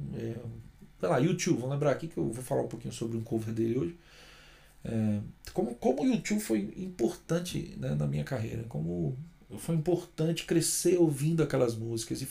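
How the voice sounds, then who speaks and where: At a moderate pace, a man speaks in a somewhat breathy voice with a dark, mellow tone and very wide pitch swings. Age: 40s. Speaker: singer-songwriter vlogger. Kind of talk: casual vlog monologue. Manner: unscripted, hesitant fillers.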